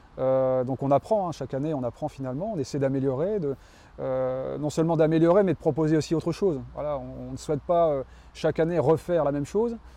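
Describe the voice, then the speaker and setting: A man races along at a very fast pace, his fairly high voice carrying a dark, mellow tone. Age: 40s. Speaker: tennis club president. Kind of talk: interview. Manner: halting, many fillers.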